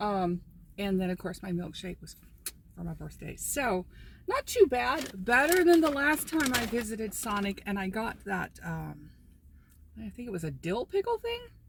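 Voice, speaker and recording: A woman with an American accent speaks at a moderate pace, with big swings in loudness. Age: 60s. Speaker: lifestyle vlogger. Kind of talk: casual vlog talk. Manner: casual, chatty with fillers.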